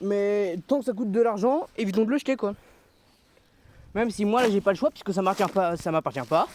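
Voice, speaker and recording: A loud man with a high pitch and ordinary pitch variation, at a fairly quick pace broken by long, frequent pauses, in a dry, close sound with no echo. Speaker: vlogger picking up litter. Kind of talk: casual vlog monologue. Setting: outdoors in nature.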